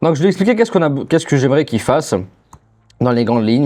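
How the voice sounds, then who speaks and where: A man with a non-native accent talks at a very fast pace with lively intonation. His voice has a dark, mellow tone at a medium pitch. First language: not French (speaking French). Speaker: AI agency owner, YouTuber. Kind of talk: tutorial. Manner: casual, conversational.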